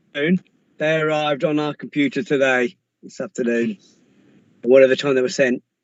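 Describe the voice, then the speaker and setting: In a Lancashire accent, a man talks at a moderate pace with a fairly high pitch and ordinary pitch variation. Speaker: police officer. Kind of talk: council meeting report.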